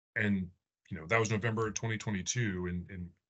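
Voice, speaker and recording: A man's voice with an American accent and fairly even intonation. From Arizona, US (Phoenix). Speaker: air force officer and test pilot; presenter. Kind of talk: presentation. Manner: halting, many fillers. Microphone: video call.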